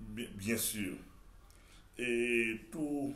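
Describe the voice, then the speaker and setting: A man speaks with audible echo from the room. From Haiti. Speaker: pastor. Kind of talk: TV interview. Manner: halting, many repetitions.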